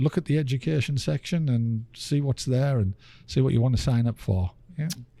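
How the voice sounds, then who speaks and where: In an English accent, a man with a medium pitch and a dark, mellow, somewhat breathy tone is heard on a very clean recording with a silent background. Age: 60s. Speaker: theatre executive director. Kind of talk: interview. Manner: halting.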